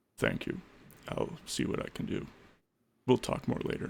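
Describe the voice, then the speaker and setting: At medium pitch and a moderate pace, a man speaks in a put-on character voice. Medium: actual play. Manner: calm, courteous, quietly commanding.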